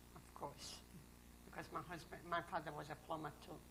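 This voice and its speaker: This woman's voice sits at a fairly low pitch and carries vocal fry. She keeps a moderate pace. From Poland, Grodno. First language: Russian or Polish. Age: 60s. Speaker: Holocaust survivor. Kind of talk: oral history interview testimony. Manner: terse, short answers.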